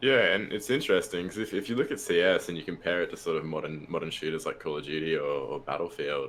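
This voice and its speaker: A man with an Australian accent talks at a very fast pace. He barely pauses at all. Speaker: podcast guest, gamer. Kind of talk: casual chat.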